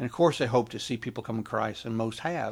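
On a very clean recording with a silent background, a man speaks in an American accent at a medium pitch. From rural US. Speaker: missions ministry leader and writer. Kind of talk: casual chat.

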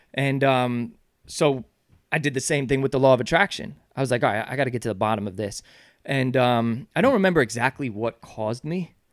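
A man with an American accent, an ordinary speaking voice, fairly quick pace and ordinary pitch variation, on a very clean recording with a silent background. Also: medium pitch for a man. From New York (Yonkers). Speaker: author and charity founder. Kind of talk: podcast interview.

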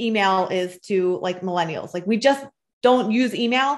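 Against a quiet background, a woman with a normal speaking voice and medium pitch talks fairly slowly with lively intonation. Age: 30s. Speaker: mother sharing mental health experience. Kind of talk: interview.

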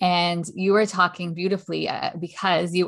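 A woman talks in a normal speaking voice at a moderate pace. Her pitch is fairly low. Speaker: podcast host and leadership coach. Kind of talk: interview conversation.

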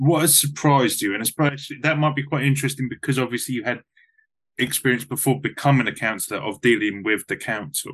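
Using a normal speaking voice, this man's speech moves at a fairly quick pace, with a medium pitch and ordinary pitch variation. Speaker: podcast host. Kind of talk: casual interview.

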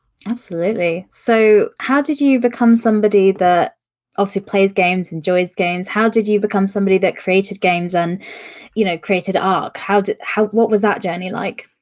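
A woman speaks at a fairly quick pace in an ordinary speaking voice, her pitch medium and her intonation fairly even. The recording is very clean, with a silent background. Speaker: podcast host. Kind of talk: casual live-streamed interview chat. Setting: live stream.

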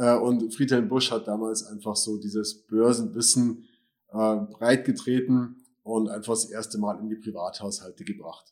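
This is an ordinary speaking voice from a man with medium pitch. He talks at a moderate pace. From Germany. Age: 40s. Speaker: financial adviser and YouTuber. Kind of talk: personal introduction to channel.

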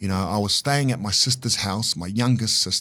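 The speaker has a New Zealand accent. Delivery is fairly quick, with fairly even intonation. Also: man. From New Zealand, Auckland. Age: 40s. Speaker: life coach and community fitness founder. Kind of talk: casual interview.

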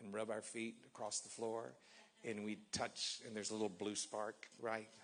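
A man at a moderate pace and fairly low pitch in an animated, passionate tone. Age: 50s. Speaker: pastor. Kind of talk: sermon. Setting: church service with congregation.

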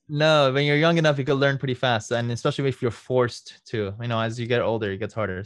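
Over a quiet background, a man with a slight Iranian accent speaks very fast at a medium pitch with ordinary pitch variation. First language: Farsi. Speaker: lawyer and legal marketing consultant. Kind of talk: interview.

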